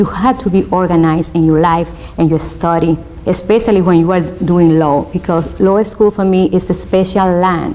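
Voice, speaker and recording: Someone speaks with a Spanish accent at very even loudness over noticeable background noise. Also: woman. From Spanish-speaking country, immigrant. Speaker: law student. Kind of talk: interview testimony. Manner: hesitant, many fillers.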